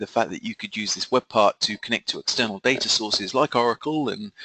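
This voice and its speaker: A man's medium-pitched voice with a British accent, bright, sharp tone, ordinary pitch variation and a fairly quick pace, dry and close with no echo. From UK. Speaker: software company co-founder and webinar presenter. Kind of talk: webinar presentation. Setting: online webinar. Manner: hesitant, many fillers.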